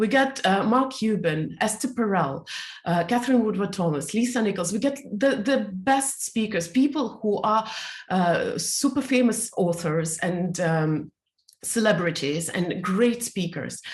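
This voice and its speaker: Speaking at a fairly slow pace, a woman with a medium pitch sounds somewhat breathy and uses lively intonation. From Soviet Union. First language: not English; English is her third language. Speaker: speaker and teacher. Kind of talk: interview. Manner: halting.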